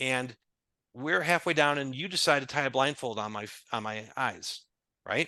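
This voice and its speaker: Against a quiet background, a man speaks in a fairly high pitch with a bright, sharp tone. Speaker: business consultant. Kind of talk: podcast interview. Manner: fast.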